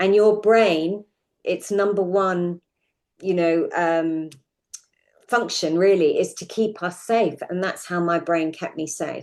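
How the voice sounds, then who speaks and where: In a southern English accent, a woman speaks very slowly with fairly even intonation. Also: medium pitch for a woman. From London suburbs, England. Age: 60s. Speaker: podcast guest sharing personal story. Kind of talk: interview testimony.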